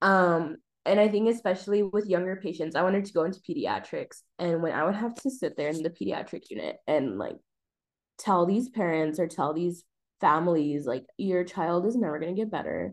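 Talking at a fairly quick pace, a woman uses a normal speaking voice with ordinary pitch variation. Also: fairly low pitch for a woman, quiet background. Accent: American. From US, El Paso, Texas. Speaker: public health student. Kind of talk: interview.

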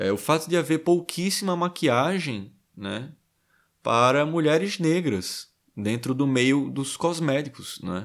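The intonation is lively while the pace stays very slow. The recording is very clean, with a silent background. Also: man, fairly high pitch for a man. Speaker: podcast host reading a book aloud. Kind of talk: reading aloud with commentary. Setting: livestream on Instagram. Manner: hesitant, many fillers.

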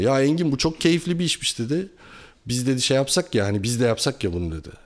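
A man talking at a fairly quick pace, his pitch swinging very widely, on a very clean recording with a silent background. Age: 40s. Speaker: industrial engineer and entrepreneur. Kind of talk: casual chat.

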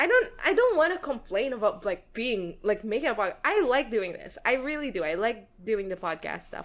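Speaking with a Filipino accent, the voice swings very widely in pitch and has hardly any pauses. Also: woman, high pitch for a woman, moderate pace. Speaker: podcast co-host. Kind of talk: casual chat.

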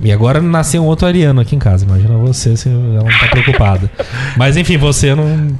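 A man at a very fast pace with lively intonation over noticeable background noise. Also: very even loudness. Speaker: podcast host. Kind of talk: casual chat. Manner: animated.

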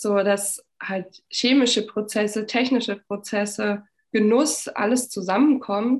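A woman with a fairly high voice talks very slowly, her intonation fairly even. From eastern Germany, Frankfurt (Oder). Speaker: winemaker. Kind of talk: casual chat.

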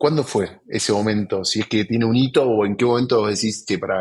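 Fairly even intonation from a man of medium pitch at a moderate pace. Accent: Argentine. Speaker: podcast host, sales executive. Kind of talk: interview.

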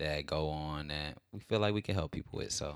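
Against a silent background in a very clean recording, a man talks at a fairly quick pace in a very deep, low pitch. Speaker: podcast host. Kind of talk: casual chat.

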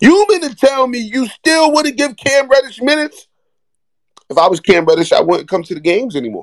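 Talking at a fairly quick clip, a man uses an extremely high pitch with very wide swings and an animated tone. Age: 30s. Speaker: podcast host. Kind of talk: casual chat.

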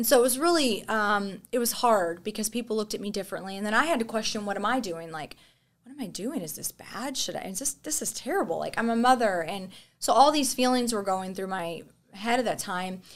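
Fairly high and quick, a woman speaks in a normal speaking voice with lively intonation and an American accent. The recording is very clean, with a silent background. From Texas. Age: 30s. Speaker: content creator and former ICU nurse. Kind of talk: casual chat.

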